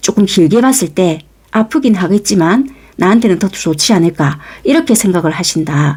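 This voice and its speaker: A somewhat breathy woman with a Busan accent, fairly slow pace and very wide pitch swings. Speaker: tarot reader. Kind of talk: tarot reading to camera. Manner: conversational, explanatory.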